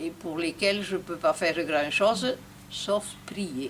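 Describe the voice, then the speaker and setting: Speaking at a very slow pace, a woman uses lively intonation and a fairly low pitch. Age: 80s+. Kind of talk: interview answer.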